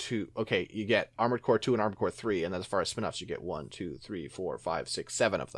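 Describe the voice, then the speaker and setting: On a very clean recording with a silent background, a man talks in an ordinary speaking voice. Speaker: podcast host. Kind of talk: casual chat.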